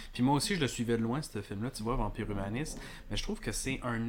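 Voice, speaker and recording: A man at medium pitch uses an ordinary speaking voice with ordinary pitch variation. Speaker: filmmaker and former film teacher. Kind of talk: casual chat.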